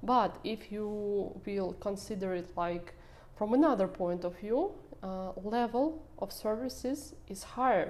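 A woman with a Russian accent speaks very slowly at a medium pitch, with ordinary pitch variation. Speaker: social media manager. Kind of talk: podcast interview.

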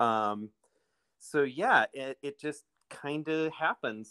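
Someone with an American accent and a bright, sharp tone speaks with fairly even intonation in a dry, close sound with no echo. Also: man. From US Midwest, Illinois. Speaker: bike shop owner and race organizer. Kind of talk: casual interview.

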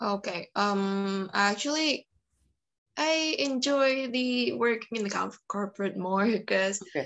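A woman with an Indonesian accent speaks at a fairly slow pace with lively intonation. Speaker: computer science student. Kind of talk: interview.

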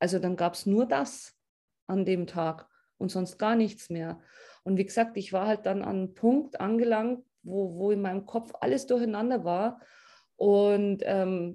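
A woman talks at a fairly slow pace in a medium pitch with ordinary pitch variation. Her tone is dark and mellow, over a quiet background. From Upper Bavaria, Germany. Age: 30s. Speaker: coaching client. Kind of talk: interview testimony.

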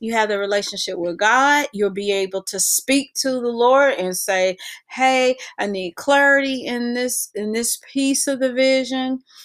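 A woman with an American accent speaks at a fairly slow pace. Her pitch is high. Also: ordinary pitch variation. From North Carolina. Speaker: pastor's wife, ministry co-founder. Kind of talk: casual chat.

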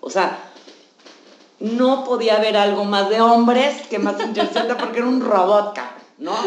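A woman with a Mexican accent and a fairly high pitch, pausing long and often, with audible room echo and noticeable background noise. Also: ordinary pitch variation, fairly slow pace. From Mexico. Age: 40s. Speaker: psychologist. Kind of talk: casual chat.

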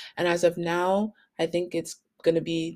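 In a Canadian accent, a woman speaks at a very deep, low pitch with vocal fry on a very clean recording with a silent background. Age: 20s. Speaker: podcast host. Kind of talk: casual monologue.

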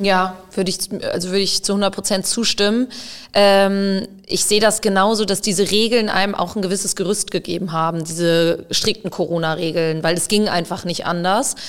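Speaking at a moderate pace, this woman has a medium pitch, fairly even intonation, and an unremarkable speaking voice. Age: 20s. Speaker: field hockey player and psychologist. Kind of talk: casual interview conversation.

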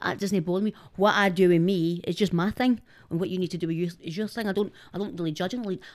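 With a Scottish accent, a woman speaks at a very fast pace, medium in pitch with ordinary pitch variation. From Glasgow East End, Scotland. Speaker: social media personality. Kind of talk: casual chat.

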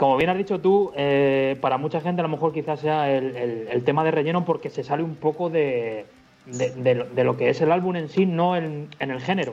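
A man's fairly high voice, with ordinary pitch variation, goes at a moderate pace while music plays behind him. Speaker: rock musician. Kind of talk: interview.

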